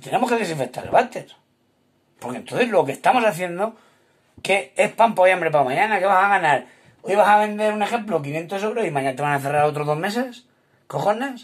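A man speaks at a fairly quick pace with a high pitch. His tone is animated and his intonation lively. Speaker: restaurant owner. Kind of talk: video monologue. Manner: halting.

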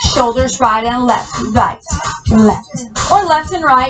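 A woman speaking at a very slow pace with lively intonation, music playing in the background. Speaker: fitness instructor. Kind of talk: exercise class cueing. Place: home room.

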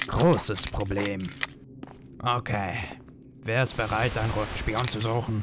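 Over clear background noise, a man speaks at a moderate pace with medium pitch and fairly even intonation, leaving long, frequent pauses. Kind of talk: amateur fan dub. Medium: fan dub. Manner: cocky, mocking.

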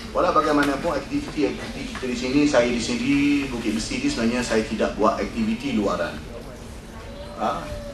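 Audible room echo and background music around a male speaker. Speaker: representative of a Quran institute. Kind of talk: conference speech.

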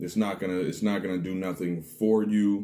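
Dark and mellow in tone, a man's voice moves at a moderate pace. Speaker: snack reviewer. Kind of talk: casual vlog chat. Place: home room. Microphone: phone near.

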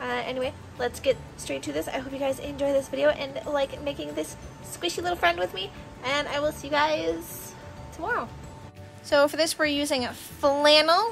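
A woman at a moderate pace over clear music in the background. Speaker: craft youtuber. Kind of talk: casual vlog chat. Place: home room. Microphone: phone near.

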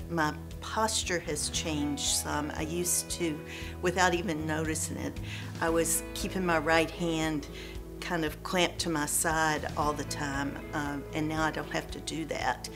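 A woman talks at a fairly slow pace. Clear music plays behind her. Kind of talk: interview answer. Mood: pleased, relieved. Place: home room. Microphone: lapel.

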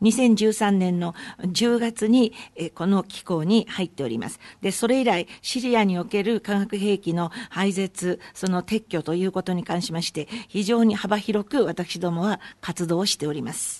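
A woman's plain, everyday voice at medium pitch, with ordinary pitch variation and a moderate pace, dry, close sound with no echo, and a quiet background. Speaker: conference interpreter. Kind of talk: consecutive interpretation. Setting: press conference. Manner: formal.

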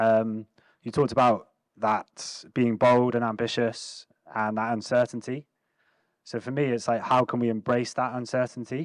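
A man speaks in monotone, flat intonation at a moderate pace. The background is quiet. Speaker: event organiser and moderator; moderator. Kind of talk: event hosting. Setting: stage with audience. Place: hall. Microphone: handheld.

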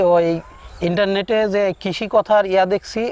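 Recorded dry and close without echo, a man talks with rather level intonation. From Bangladesh, Pabna district. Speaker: village doctor, new duck farmer. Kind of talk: interview answers.

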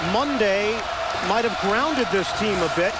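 Heard amid loud background noise, a man speaks with a dry sound and no echo. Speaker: TV play-by-play announcer. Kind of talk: sports commentary. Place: stadium. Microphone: headset.

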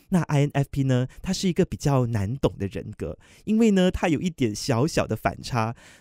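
On a very clean recording with a silent background and a dry, close sound free of echo, a man at medium pitch speaks at a fairly slow pace with very wide pitch swings. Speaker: radio DJ trainee. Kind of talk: practice radio hosting segment.

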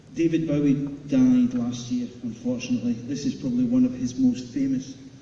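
Amid light background noise and audible room echo, a man delivers his words at a fairly quick pace in a monotone, flat intonation. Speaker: presenter. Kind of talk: stage announcement. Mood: light, jokey. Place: hall.

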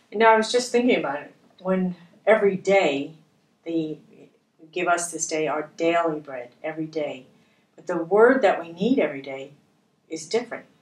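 Fairly quick yet broken by long, frequent pauses, a woman's fairly low voice shows big swings in loudness over audible room echo. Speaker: bible study co-host. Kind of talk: prayer. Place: studio.

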